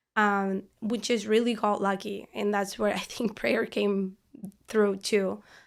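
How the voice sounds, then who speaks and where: A woman with a Spanish accent speaks very slowly at medium pitch in a monotone, flat intonation on a very clean recording with a silent background. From Argentina. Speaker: parishioner and law student. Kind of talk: podcast interview.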